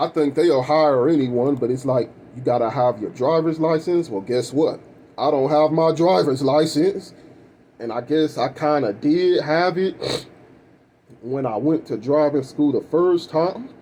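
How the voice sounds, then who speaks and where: A man talks at a fairly slow pace. His voice is fairly high in pitch with a dark, mellow tone. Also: ordinary pitch variation. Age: 30s. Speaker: vlogger. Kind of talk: personal rant vlog. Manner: casual, profane, rambling delivery.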